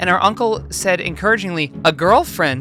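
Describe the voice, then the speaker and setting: A woman speaks with music in the background. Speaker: voice actor. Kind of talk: comedic narration of social media posts.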